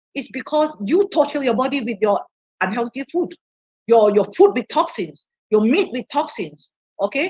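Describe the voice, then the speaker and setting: Her pitch swings very widely as the woman talks at a moderate pace. The sound is dry and close, with no echo. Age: 60s. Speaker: health product speaker. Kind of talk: interactive online seminar, Q&A. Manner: halting.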